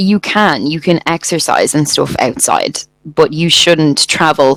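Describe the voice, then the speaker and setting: A fairly slow delivery in a Dublin accent. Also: woman. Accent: Irish, Dublin. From Ireland, Dublin. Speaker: English tutor. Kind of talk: casual chat.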